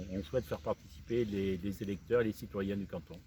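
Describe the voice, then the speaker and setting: The man's voice is fairly low in pitch, with a dark, mellow tone. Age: 60s. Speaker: local election candidate. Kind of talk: campaign presentation. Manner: hesitant, many fillers.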